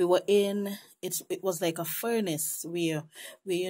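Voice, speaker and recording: In a Caribbean accent, a woman speaks with a dark, mellow tone, fairly low pitch and monotone, flat intonation at a fairly slow pace, on a very clean recording with a silent background. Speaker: religious visionary sharing a vision. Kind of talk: testimony. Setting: night.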